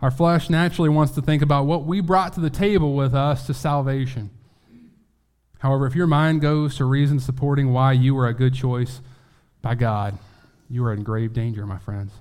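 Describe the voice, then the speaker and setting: Ordinary pitch variation marks this man's normal speaking voice. He holds a medium pitch and a moderate pace. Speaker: preacher. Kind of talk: sermon. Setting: church.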